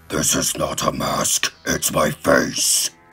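Faint music plays behind a man doing a put-on character voice at an extremely high pitch and a very slow pace. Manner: menacing.

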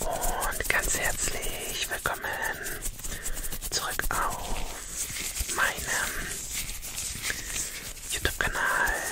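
This man speaks at a very slow pace. His pauses are long and frequent. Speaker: ASMR creator. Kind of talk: ASMR talking video. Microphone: studio mic.

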